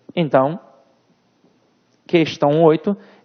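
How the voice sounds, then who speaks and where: With a Rio de Janeiro accent, a man speaks at a high pitch in an animated tone at a fairly slow pace. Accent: Rio de Janeiro (carioca). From Rio de Janeiro, Brazil. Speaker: Portuguese language teacher for civil-service exam prep. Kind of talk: online lecture. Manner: informal, animated.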